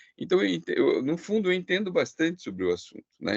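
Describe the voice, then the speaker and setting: A man talking at a very fast pace, his pitch swinging very widely. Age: 60s. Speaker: art gallerist. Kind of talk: online presentation. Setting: video call. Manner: halting.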